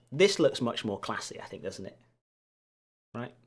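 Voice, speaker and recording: Speaking with a Lancashire accent, a man keeps a moderate pace and a medium pitch. His pitch swings very widely on a very clean recording with a silent background. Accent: northern English (Lancashire). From northern England, Lancashire near Manchester. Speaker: keyboard builder streamer, teacher. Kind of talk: livestream casual chat. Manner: casual, hesitant with fillers.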